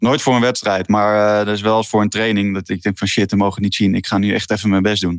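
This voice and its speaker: This man talks at a very fast pace with hardly any pauses, his fairly low pitch held in a monotone, flat intonation. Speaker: professional field hockey player. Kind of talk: casual interview. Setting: remote call from home.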